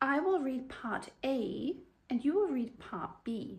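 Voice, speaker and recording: A woman speaks in a high pitch. She has a southern English accent. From Oxford, England. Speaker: English teacher. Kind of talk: teaching talk to camera.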